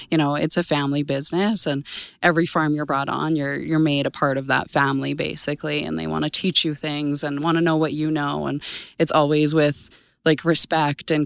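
In a very clean recording with a silent background, a woman with an Albertan accent speaks at a moderate pace, her very deep, low voice fairly even in intonation. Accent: Canadian (Alberta). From southern Alberta, Canada. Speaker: crop science sales manager. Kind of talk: interview. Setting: conference.

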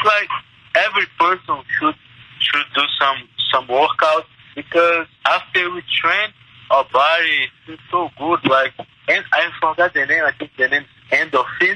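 A man with a Portuguese accent at a fairly slow pace, with long, frequent pauses. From Brazil, Minas Gerais. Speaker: mixed martial arts fighter. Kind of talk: interview.

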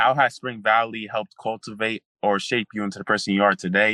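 A man at a fairly quick pace with monotone, flat intonation, dry and close with no echo, against a quiet background. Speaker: podcast host. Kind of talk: casual interview.

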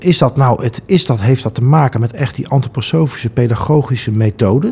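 A man at medium pitch, with ordinary pitch variation and a fairly quick pace. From Netherlands, Breda. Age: 40s. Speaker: school association chairman. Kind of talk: interview. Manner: hesitant, many fillers.

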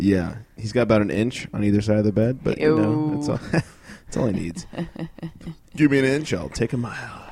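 At a moderate pace, the voice carries a tired tone and lively intonation over noticeable background noise. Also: man, medium pitch for a man. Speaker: podcast co-host. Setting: studio recording. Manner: tired, low energy.

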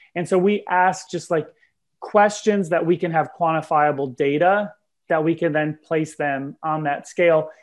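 A man with a normal speaking voice talks at a moderate pace and fairly high pitch, his intonation fairly even against a quiet background. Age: 30s. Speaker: nonprofit director. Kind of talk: casual interview.

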